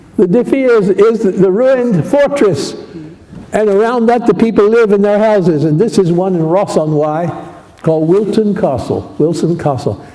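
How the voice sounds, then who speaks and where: Over noticeable background noise, a man with a high pitch speaks at a moderate pace with lively intonation and very even loudness. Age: 80s+. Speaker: academic linguist, Nubian languages specialist. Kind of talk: memorial talk with slides. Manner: halting.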